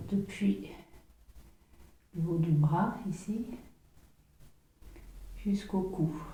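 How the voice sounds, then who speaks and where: A soft-spoken woman talks very slowly with fairly even intonation. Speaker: massage therapist teaching. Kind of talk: guided massage tutorial, step-by-step commentary.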